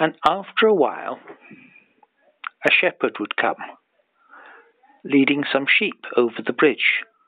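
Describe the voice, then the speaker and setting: Speaking fairly slowly with long, frequent pauses, a man talks in a Scottish accent. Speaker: storyteller. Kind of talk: bedtime story. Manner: improvised, unhurried.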